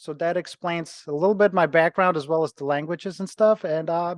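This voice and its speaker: Against a quiet background, a man with a Ukrainian accent speaks in a high pitch with fairly even intonation. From Ukraine. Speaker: personal trainer and gym owner. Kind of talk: interview.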